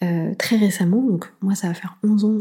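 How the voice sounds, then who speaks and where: Her voice is somewhat breathy. This woman has a dark, mellow tone. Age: 30s. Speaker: podcast host. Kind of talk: solo advice monologue. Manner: animated.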